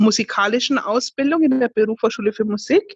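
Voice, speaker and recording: A woman with a normal speaking voice, fairly high pitch and ordinary pitch variation, in a dry, close sound with no echo. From Bavaria, Fürth (Franconia). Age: 30s. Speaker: singer. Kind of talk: interview.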